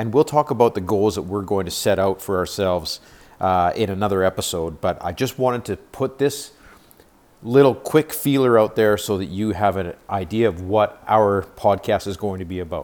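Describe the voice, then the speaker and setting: The man has an unremarkable speaking voice at a fairly low pitch, with ordinary pitch variation. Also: moderate pace. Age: 50s. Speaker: podcast host, beginner real estate investor. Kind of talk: solo podcast introduction.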